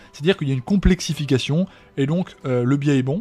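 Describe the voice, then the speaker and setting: A man talks at a very fast pace in a fairly high pitch. His voice is somewhat breathy, with ordinary pitch variation. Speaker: trading teacher. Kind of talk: lecture. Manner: halting.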